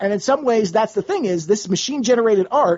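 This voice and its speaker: A man speaks at a high pitch, and his intonation is lively. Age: 40s. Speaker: artist. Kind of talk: casual chat.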